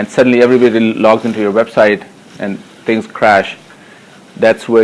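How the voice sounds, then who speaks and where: A man with a non-native accent speaks at medium pitch in a monotone, flat way, at a fairly quick pace broken by long, frequent pauses. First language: not English. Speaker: technology evangelist giving a conference talk. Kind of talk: conference tech talk. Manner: hesitant, many fillers.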